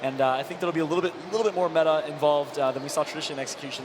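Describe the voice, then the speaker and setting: Here a man talks at a very fast pace. Noticeable background noise runs behind him. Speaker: esports caster, former pro gamer. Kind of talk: live commentary. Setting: stage with audience. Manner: animated.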